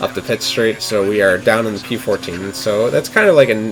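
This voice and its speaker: There is noticeable background noise. A man speaks at a fairly low pitch. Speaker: sim racing gameplay commentator. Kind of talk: gameplay commentary. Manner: slurring words; casual, self-correcting.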